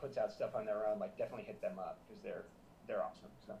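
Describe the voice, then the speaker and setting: A man races through his speech at a very fast pace amid noticeable background noise. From US South, South Florida. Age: 30s. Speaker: musician and producer. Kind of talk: casual interview chat.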